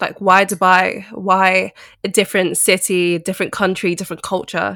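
A woman speaks at a moderate pace with a bright, sharp tone, medium pitch and fairly even intonation, in a dry, close sound with no echo on a very clean recording with a silent background. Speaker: podcast host and fashion label founder. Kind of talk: interview conversation. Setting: recorded while bedbound at home.

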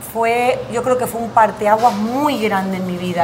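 A woman talks at a fairly high pitch with ordinary pitch variation. Noticeable background noise and audible room echo fill the recording. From Argentina, Buenos Aires and Tucumán. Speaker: actress and comedian. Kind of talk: casual interview. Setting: café on a busy avenue.

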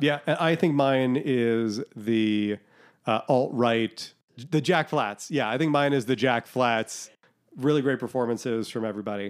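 Heard in a very clean recording with a silent background, a man with an American accent speaks fairly slowly at a medium pitch in a normal speaking voice. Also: ordinary pitch variation. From Boston, US. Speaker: podcast host. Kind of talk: casual chat.

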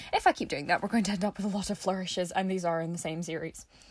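A woman speaks at a medium pitch with a Scottish accent. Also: very clean recording, silent background. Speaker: podcast host. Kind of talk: casual solo podcast monologue. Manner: chatty, informal.

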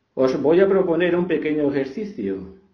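Amid audible room echo, a man speaks fairly slowly with lively intonation. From Spain, Extremadura (Fregenal de la Sierra). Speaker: author. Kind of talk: reflective talk on gratitude. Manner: calm.

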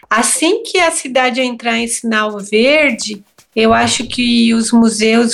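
A woman with a normal speaking voice talks at a fairly slow pace, her pitch fairly high and her pitch variation ordinary. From Brazil, São Paulo area (Santo André). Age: 50s. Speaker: visual artist and teacher. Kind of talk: interview conversation.

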